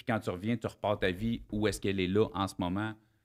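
Talking very fast, a man with a Quebec accent keeps a fairly low pitch and a monotone, flat intonation against a quiet background. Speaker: podcast host and comedian. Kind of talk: casual interview. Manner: informal, conversational. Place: studio. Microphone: studio mic.

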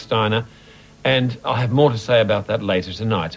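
A man's fairly quick speech runs over music in the background. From Australia. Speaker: film presenter. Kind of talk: TV film introduction. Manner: enthusiastic. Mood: warm, enthusiastic. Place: studio.

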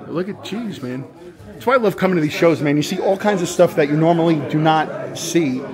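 Against noticeable background noise, a man's pitch varies in an ordinary way. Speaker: toy collector vlogger. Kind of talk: casual vlog chat. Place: hall. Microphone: phone near.

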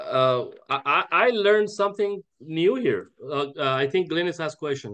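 A man speaks at a fairly slow pace in a bright, sharp tone, his pitch swinging very widely. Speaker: network marketing team leader. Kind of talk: online team training call. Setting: video call. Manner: animated, filler-heavy.

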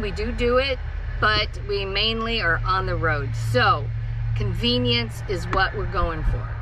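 A woman speaks at a fairly slow pace, the sound dry with no echo but with noticeable background noise. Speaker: travel vlogger. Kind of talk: casual vlog tour. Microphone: phone near.

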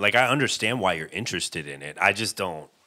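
A man speaks at a fairly quick pace with a bright, sharp tone over a quiet background. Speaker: podcast guest. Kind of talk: casual chat. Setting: video call. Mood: joking, chatty. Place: home room. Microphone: earbuds.

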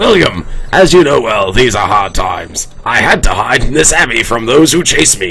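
A man puts on a character voice at a medium pitch, swinging very widely up and down. Light background noise can be heard. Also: moderate pace. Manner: crazy, erratic.

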